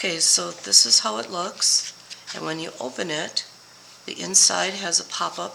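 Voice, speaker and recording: A woman at a fairly slow pace with noticeable background noise. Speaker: paper crafting demonstrator. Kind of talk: tutorial. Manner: casual, friendly.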